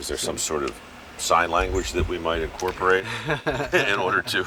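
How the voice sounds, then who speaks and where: At a moderate pace, a man talks while noticeable background noise is heard. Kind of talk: interview question to experts.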